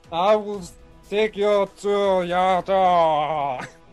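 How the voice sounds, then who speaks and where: Faint music plays in the background. A man does a put-on character voice, pitched high. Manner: slurred, dazed.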